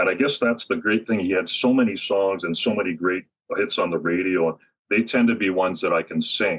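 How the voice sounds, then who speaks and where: A man with fairly low pitch talks at a fairly quick pace in an ordinary speaking voice with ordinary pitch variation. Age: 60s. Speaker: tribute singer. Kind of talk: interview.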